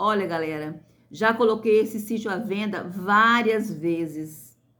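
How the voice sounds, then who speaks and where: In a space with audible room echo, a woman with a fairly high pitch talks at a fairly slow pace with lively intonation. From rural interior of Brazil. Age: 50s. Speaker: YouTuber, small farm owner. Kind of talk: casual vlog chat to viewers. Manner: hesitant, repetitive fillers.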